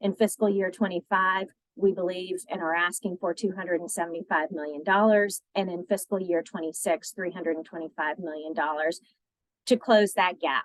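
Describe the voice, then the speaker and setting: A woman with a normal speaking voice, a medium pitch, fairly even intonation and a moderate pace. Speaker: childcare policy advocate. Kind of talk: presentation.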